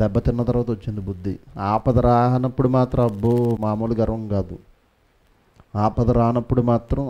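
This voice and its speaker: Here a man is speaking. His tone is dark and mellow. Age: 30s. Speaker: pastor. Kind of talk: sermon. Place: church. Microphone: headset.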